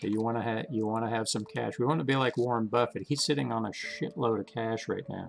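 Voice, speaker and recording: A man speaks very fast, with hardly any pauses. His pitch is medium, with ordinary variation. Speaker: stock trading channel host. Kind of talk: live trading commentary. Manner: casual, halting with self-corrections.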